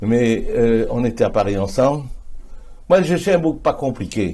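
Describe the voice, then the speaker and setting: Somewhat breathy, a man talks with a dark, mellow tone. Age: 70s. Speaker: politician. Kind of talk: interview.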